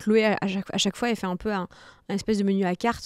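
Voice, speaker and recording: Against a quiet background, a woman speaks at a medium pitch and a fairly quick pace, her fairly even intonation captured in a dry sound with no echo. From France, Nantes (early childhood in Martinique); France. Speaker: fitness coach and content creator; fitness coach, content creator. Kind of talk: interview. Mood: warm, relaxed. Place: studio. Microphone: studio mic.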